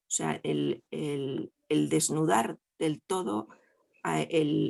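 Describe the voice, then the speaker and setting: At a very slow pace, a woman speaks in a dry, close sound with no echo. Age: 60s. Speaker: audience member. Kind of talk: testimony. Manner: halting.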